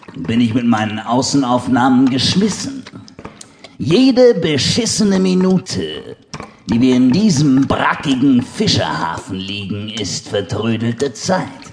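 Speaking at a very slow pace, a man uses a theatrical tone with very wide pitch swings and a medium pitch. Noticeable background noise runs behind him. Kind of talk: dramatic audiobook narration with voiced characters. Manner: theatrical, punchy delivery with sudden exclamations.

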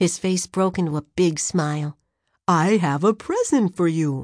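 Against a quiet background, a woman with a medium pitch speaks in an animated tone at a fairly slow pace. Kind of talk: dramatic audiobook narration. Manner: animated, expressive, with distinct character voices.

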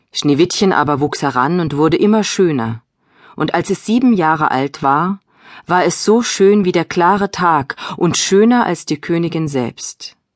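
This woman has an ordinary speaking voice, fairly low in pitch, with lively intonation at a fairly slow pace. The sound is dry and close with no echo over a quiet background. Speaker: audiobook narrator. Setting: studio. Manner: storytelling, gentle and expressive.

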